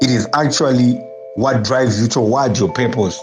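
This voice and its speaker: Music plays in the background and there is audible room echo. A man speaks at a medium pitch and a moderate pace. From Africa. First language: an African language. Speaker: self-help video creator. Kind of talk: motivational monologue. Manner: casual, with fillers.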